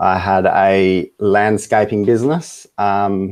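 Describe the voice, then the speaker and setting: Speaking with an Australian accent, a man keeps his fairly low voice in fairly even intonation. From Western Australia. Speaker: web design business owner, client. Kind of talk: interview. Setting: Skype video call.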